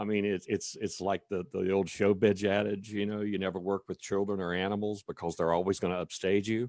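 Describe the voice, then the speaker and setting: Speaking in a North Carolina accent, a man with a fairly low pitch talks at a fairly quick pace with hardly any pauses and a monotone, flat intonation, in a dry, close sound with no echo. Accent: US Southern (North Carolina). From North Carolina, Cumberland County. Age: 60s. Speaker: state legislator. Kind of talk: speech at online advocacy event. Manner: halting, many fillers.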